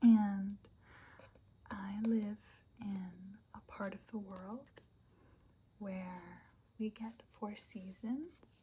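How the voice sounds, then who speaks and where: Whispering and soft-spoken, a woman talks at a very slow pace with a somewhat breathy quality. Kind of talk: ASMR soft spoken ramble. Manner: soft-spoken, whispery.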